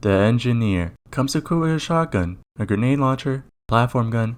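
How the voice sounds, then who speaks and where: Over music in the background, a man with a medium-pitched voice talks at a fairly quick pace with lively intonation. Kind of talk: video game review narration.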